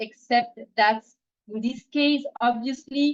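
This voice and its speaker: With a non-native accent, a woman talks at a fairly slow pace. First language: not English. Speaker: PhD researcher, dolphin biologist. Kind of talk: scientific webinar talk. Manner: hesitant, many fillers.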